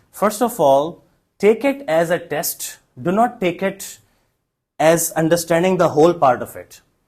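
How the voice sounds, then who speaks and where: With lively intonation, a man's high voice comes through on a very clean recording against a silent background. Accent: Pakistani. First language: Urdu. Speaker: English test trainer, former examiner. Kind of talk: Q&A teaching session.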